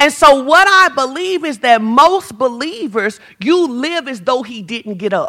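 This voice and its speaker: A woman with a high pitch speaks at a fairly slow pace in a raised, projected voice, her bright, sharp tone marked by very wide pitch swings, big swings in loudness and hardly any pauses. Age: 40s. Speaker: pastor. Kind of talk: sermon. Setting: church.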